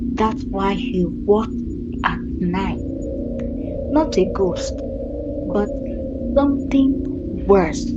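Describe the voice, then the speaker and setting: A put-on character voice, female-sounding, at a very slow pace over loud background noise. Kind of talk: spooky folktale narration. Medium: read story. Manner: slow, suspenseful.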